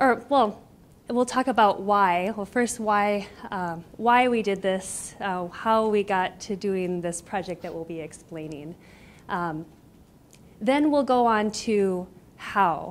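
Her words come at a very slow pace. The woman's pitch moves in an ordinary way. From US Midwest, Iowa. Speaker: graduate student; presenter. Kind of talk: lecture. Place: classroom. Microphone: handheld.

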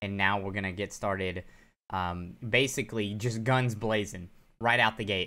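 A man speaks at a fairly low pitch and a moderate pace. His tone is bright and sharp, his intonation fairly even. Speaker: game streamer. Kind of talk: casual gameplay commentary.

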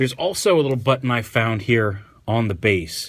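Against a quiet background, a man speaks at a fairly low pitch with ordinary pitch variation. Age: 30s. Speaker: toy reviewer. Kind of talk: product review. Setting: sitting on the floor at home. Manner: casual, hesitant with fillers. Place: home room. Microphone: phone near.

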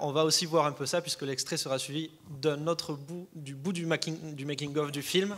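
Using a normal speaking voice, a man talks at a fairly slow pace, his pitch fairly high and his intonation fairly even. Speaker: film student; panel moderator. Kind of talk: interview. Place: stage. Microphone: handheld.

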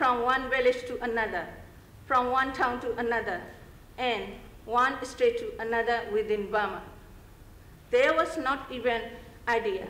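At a moderate pace and with fairly even intonation, a woman speaks in a high voice, leaving long, frequent pauses amid audible room echo. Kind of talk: prepared speech. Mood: earnest, measured appeal. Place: hall. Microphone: podium.

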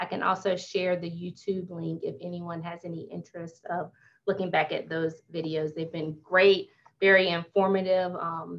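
At a moderate pace, a woman speaks in a fairly low pitch with monotone, flat intonation. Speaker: city office staff host. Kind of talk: webinar presentation. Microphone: video call.

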